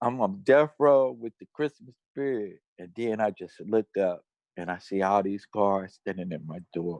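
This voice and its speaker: A normal speaking voice with an American accent moves at a fairly slow pace, its intonation lively and its loudness swinging widely, in a dry, close sound with no echo. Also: man, fairly low pitch for a man. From Cincinnati, Ohio, US Midwest. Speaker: death row exoneree, activist. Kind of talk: testimony.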